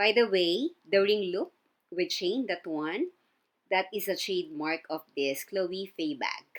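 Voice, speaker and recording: Ordinary pitch variation comes with a fairly slow pace of speech. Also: woman, medium pitch for a woman. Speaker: fashion vlogger. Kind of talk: unboxing review. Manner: soft-spoken.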